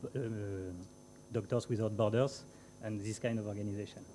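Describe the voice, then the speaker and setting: The speaker is a man. He talks with a French accent. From France. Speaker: aerospace company representative. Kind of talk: conference talk. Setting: conference panel with audience. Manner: halting, many fillers.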